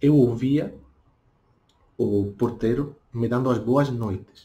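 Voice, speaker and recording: A man speaks in a medium pitch, somewhat breathy. His tone is dark and mellow. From Spain. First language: Spanish (speaking Portuguese). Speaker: language teacher. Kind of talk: tutorial. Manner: deliberately slow.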